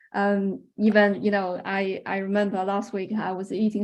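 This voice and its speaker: A woman speaks at medium pitch. Her intonation stays flat and monotone. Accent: Chinese. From China. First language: Chinese. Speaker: researcher. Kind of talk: webinar Q&A. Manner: halting, many fillers.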